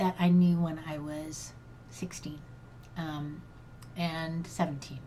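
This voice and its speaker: A woman's somewhat breathy, fairly low voice at a very slow pace, with audible room echo. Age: 60s. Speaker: grief coach. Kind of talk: personal monologue podcast. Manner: halting.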